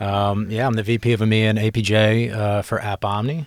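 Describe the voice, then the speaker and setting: A fairly low-pitched man with an American accent, monotone and flat, in a very clean recording over a silent background. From US East Coast, Philadelphia. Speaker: tech sales executive. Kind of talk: podcast interview.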